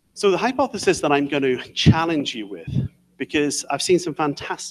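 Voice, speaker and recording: The man's voice sits fairly high in pitch, with a dry, close sound and no echo. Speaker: visiting researcher giving invited talk. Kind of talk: lecture. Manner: fast.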